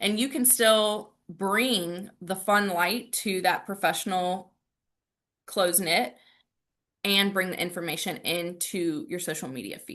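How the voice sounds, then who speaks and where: A woman's bright, sharp voice at medium pitch, with an American accent, lively intonation, a very slow pace and a quiet background. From US South, Raleigh, North Carolina. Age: 30s. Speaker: salon owner and branding trainer. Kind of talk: virtual training presentation. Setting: video call. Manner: animated.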